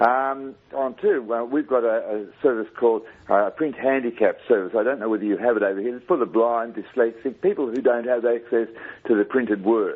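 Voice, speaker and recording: Speaking in an Australian accent, a man at medium pitch keeps a fairly quick pace and fairly even intonation, with big swings in loudness. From Australia, Brisbane, Queensland. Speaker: caller, part-time broadcaster. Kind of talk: phone-in call. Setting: phone call.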